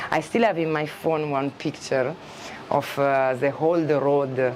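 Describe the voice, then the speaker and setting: A woman speaks in an Italian accent with a very deep, low pitch and fairly even intonation. Noticeable background noise runs underneath. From Italy. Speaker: expat shop and eco farm owner. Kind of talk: casual interview chat. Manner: halting, many fillers and restarts.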